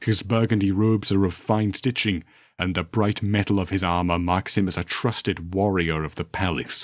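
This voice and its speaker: In a put-on character voice, a man speaks at a moderate pace with a very deep, low pitch, recorded very cleanly against a silent background. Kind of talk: dark sci-fi horror narration. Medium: read story. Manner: measured, solemn, ominous.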